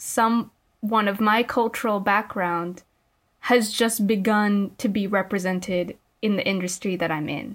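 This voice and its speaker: A woman with a Californian accent speaks at a medium pitch with fairly even intonation. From immigrated to the US at age five. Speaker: podcast host and college student. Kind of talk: casual chat.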